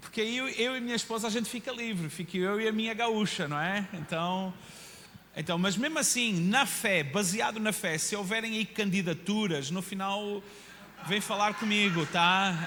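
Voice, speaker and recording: A man projects his high-pitched voice at a moderate pace in an animated tone. Audible echo fills the room. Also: ordinary pitch variation. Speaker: pastor. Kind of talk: sermon. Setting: church.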